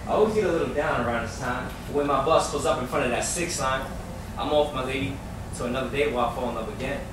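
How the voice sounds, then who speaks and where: Over noticeable background noise, a man with a fairly high pitch and ordinary pitch variation talks at a very fast pace. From New York. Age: 20s. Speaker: spoken word poet. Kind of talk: spoken word poetry performance.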